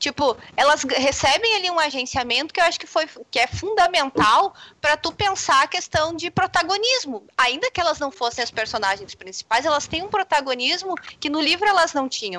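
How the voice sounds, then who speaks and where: At a moderate pace, a woman uses a raised, projected voice at a high pitch with very wide pitch swings. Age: 30s. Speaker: games and literature scholar. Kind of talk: casual panel discussion.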